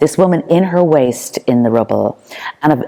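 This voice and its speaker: In an Irish accent, a woman speaks at a moderate pace. Her pitch shows ordinary variation. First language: Irish Sign Language. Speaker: performance artist. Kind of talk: artist talk. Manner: halting.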